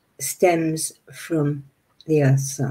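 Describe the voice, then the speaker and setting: A woman is speaking. Her voice is fairly low in pitch and somewhat breathy. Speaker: meditation teacher. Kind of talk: webinar lecture. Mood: warm, slightly flustered. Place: home room. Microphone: webcam.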